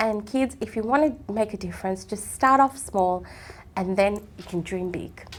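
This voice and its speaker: Loudness swings widely at a moderate pace, with ordinary pitch variation. Background noise is noticeable. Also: woman, medium pitch for a woman. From Sri Lanka, raised mainly in Melbourne area, Australia. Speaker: politician. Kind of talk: interview. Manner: animated.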